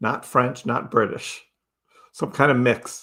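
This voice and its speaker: Bright and sharp in tone, a man with a Southern US accent speaks at a medium pitch and a fairly slow pace. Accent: Southern American. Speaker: crypto livestream host. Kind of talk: live stream chat reading viewer comments. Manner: casual, conversational.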